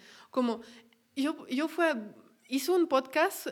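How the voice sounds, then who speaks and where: With a French accent, a woman speaks fairly slowly, her pitch varying in an ordinary way. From France. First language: French (speaking Spanish). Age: 20s. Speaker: podcaster. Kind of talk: casual chat.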